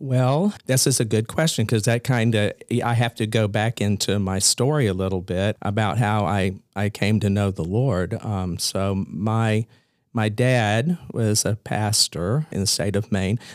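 In an American accent, a man with a plain, everyday voice speaks fairly slowly at a fairly low pitch, with ordinary pitch variation. The sound is dry and close with no echo, and the recording is very clean with a silent background. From US South, Columbia, South Carolina. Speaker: pastor. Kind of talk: casual chat. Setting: office.

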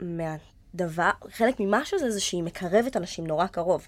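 An ordinary speaking voice comes through at a moderate pace. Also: woman. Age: 20s. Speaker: actress. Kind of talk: casual chat.

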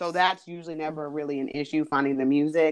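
A woman with a very deep, low pitch and fairly even intonation against a quiet background. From New Jersey. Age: 30s. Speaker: teacher and dancer. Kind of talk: interview.

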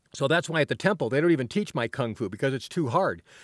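On a very clean recording with a silent background, a man with a fairly high pitch sounds dry and close, with no echo. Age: 60s. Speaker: kung fu and Zen teacher, podcaster. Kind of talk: casual solo monologue. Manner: hesitant with many fillers.

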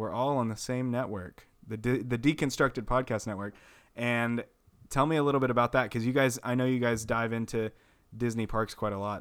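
A man with an American accent talks at a fairly quick pace, with a plain, everyday voice at a medium pitch. His intonation is fairly even, and the recording is very clean with a silent background. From Texas, Amarillo. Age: 20s. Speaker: podcast host. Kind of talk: casual chat.

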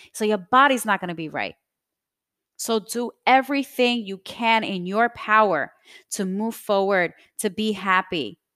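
A plain, everyday voice, this woman's sits fairly high in pitch with ordinary variation, spoken at a fairly slow pace in a dry, close recording that is very clean with a silent background. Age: 30s. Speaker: podcast host. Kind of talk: personal monologue.

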